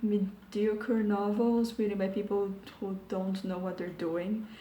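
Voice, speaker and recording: A soft-spoken, somewhat breathy woman with a dark, mellow tone. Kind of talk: video essay commentary. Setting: home recording.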